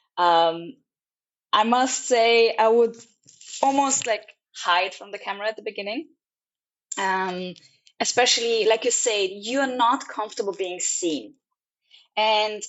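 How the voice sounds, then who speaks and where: In a Serbo-Croatian accent, a woman speaks at a fairly high pitch and a fairly slow pace, with long, frequent pauses. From Austria. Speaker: travel vlogger. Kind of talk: casual chat. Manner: halting.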